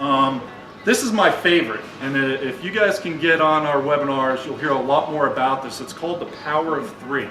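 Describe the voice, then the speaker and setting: With an American accent, a man talks at a fairly quick pace in a fairly high pitch with ordinary pitch variation, while audible room echo and music in the background fill the recording. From New York. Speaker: sales trainer. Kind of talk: presentation to trade association meeting. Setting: meeting room with audience. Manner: fast.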